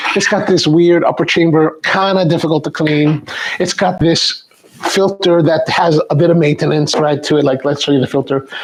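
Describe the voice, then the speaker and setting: A man with a fairly high pitch speaks with fairly even intonation and very even loudness amid noticeable background noise. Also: moderate pace. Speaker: coffee video host. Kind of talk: tutorial. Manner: halting.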